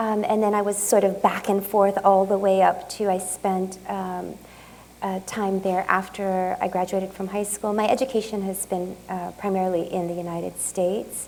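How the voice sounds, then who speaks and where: Delivered in a monotone, flat intonation, the voice carries audible room echo. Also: woman, medium pitch for a woman, moderate pace. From Japan and California, US. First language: Japanese. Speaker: artist. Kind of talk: lecture Q&A. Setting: museum talk with audience. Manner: halting, many fillers.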